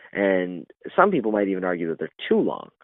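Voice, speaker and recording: Here a man talks with a Canadian accent. His pitch is very deep and low. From Canada, Ontario. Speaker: professional wrestler. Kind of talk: interview. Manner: halting, stutters in conversation.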